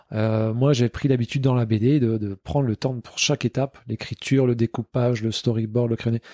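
A man speaks at a moderate pace in a medium pitch with a dark, mellow tone. His intonation is fairly even, and the sound is dry and close with no echo. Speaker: comic book author. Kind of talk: interview. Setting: martial arts club.

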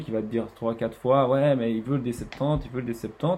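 A man speaks at a very slow pace in a medium pitch. His intonation stays fairly even. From French-speaking Switzerland, Estavayer-le-Lac. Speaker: water sports centre manager. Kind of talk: casual interview. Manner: halting, many repetitions.

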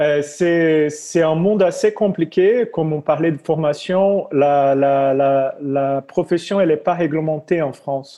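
With a Brazilian accent, a man speaks very slowly at a fairly high pitch with ordinary pitch variation. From Brazil, near Rio de Janeiro. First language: Portuguese (speaking French). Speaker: yoga teacher. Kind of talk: interview. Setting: video call. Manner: halting.

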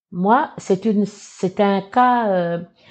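Her pitch medium and varying in an ordinary way, a woman speaks in a plain, everyday voice. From New Caledonia, Kanak tribe in the north. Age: 60s. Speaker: association president and political aide. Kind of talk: interview. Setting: studio.

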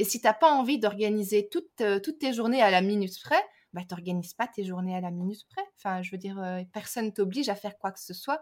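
The speaker races along at a very fast pace, with lively intonation and big swings in loudness. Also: woman, medium pitch for a woman. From Belgium. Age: 30s. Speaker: language teacher and teacher trainer. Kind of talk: casual interview chat. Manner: hesitant, many fillers.

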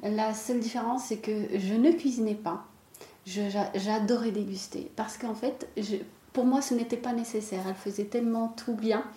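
The intonation stays fairly even against noticeable background noise. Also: woman, fairly high pitch for a woman, fairly slow pace. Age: 30s. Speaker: chocolatier. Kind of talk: interview.

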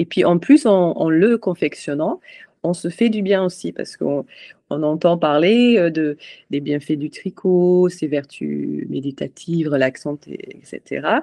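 The tone is dark and mellow, with ordinary pitch variation. Delivery comes at a very slow pace in a dry, close sound with no echo. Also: woman, fairly low pitch for a woman. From Scotland, Edinburgh. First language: English (speaking French). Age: 40s. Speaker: charity president. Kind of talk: interview. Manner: halting.

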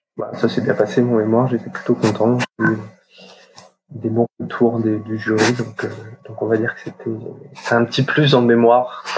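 A man of medium pitch with monotone, flat intonation, a moderate pace and long, frequent pauses. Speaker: chartered accountant. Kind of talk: interview. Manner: halting, many fillers.

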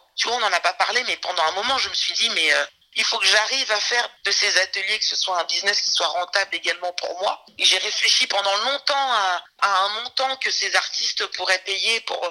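Against noticeable background noise, a woman talks at a moderate pace in a medium pitch with ordinary pitch variation. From France, Saint-Denis. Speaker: music manager and trainer. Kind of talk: interview.

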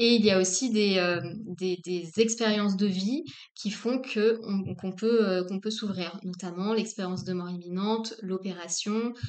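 A woman at medium pitch, with a fairly slow pace and fairly even intonation. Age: 40s. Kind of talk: interview about personal path and spirituality. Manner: halting, many fillers and repetitions.

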